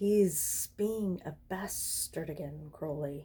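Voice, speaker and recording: A woman puts on a hissing character voice. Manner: hissing, complaining.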